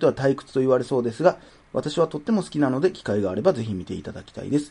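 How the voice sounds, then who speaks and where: An animated-sounding man speaks with very wide swings in pitch. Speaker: podcast host. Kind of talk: casual chat.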